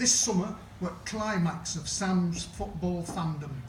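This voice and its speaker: Very slowly, a man talks in a high pitch with a Sheffield accent. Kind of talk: comic verse monologue performance.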